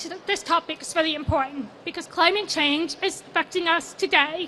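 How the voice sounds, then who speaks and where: In an American accent, a woman uses a raised, projected voice that is extremely high in pitch, with a bright, sharp tone. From USA. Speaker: sustainability consultant. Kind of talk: conference talk. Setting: stage with audience.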